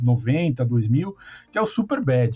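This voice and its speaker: A man's dark, mellow voice, somewhat breathy, moves with lively intonation. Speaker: podcast host. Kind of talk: casual chat.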